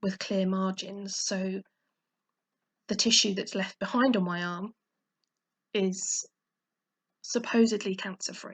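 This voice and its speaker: Somewhat breathy, a woman of medium pitch speaks at a fairly slow pace with long, frequent pauses and monotone, flat intonation, in a dry, close sound with no echo. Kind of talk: personal vlog talk to camera. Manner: hesitant, lots of pausing.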